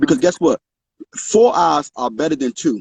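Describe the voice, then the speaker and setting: A man with an American accent speaks in a dark, mellow tone with very wide pitch swings. The sound is dry and close, with no echo. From Washington DC, southeast. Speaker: pastor. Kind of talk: interview on a livestream. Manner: fast; animated.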